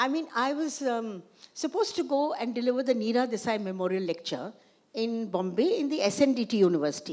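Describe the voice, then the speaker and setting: Her pitch fairly high, a woman speaks at a fairly quick pace with very wide pitch swings. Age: 80s+. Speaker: filmmaker and feminist historian. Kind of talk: conversation with audience. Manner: halting, many restarts.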